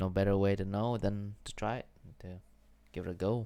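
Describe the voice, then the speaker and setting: The man's voice is fairly low in pitch, with a dark, mellow tone. He speaks in a monotone, flat intonation. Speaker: vlogger. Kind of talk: personal vlog monologue. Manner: mumbling, stumbling; halting.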